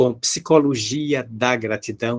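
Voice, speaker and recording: At a very slow pace, the man speaks in a medium pitch. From Bahia, Brazil (Salvador). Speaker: spiritist lecturer. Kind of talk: public lecture. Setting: video call.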